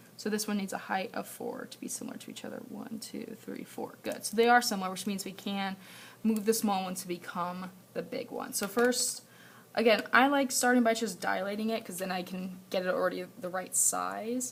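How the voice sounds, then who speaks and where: Vocal fry and big swings in loudness, with fairly even intonation at a moderate pace. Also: woman, fairly high pitch for a woman. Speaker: math teacher. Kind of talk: homework walkthrough tutorial. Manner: casual, thinking aloud with fillers.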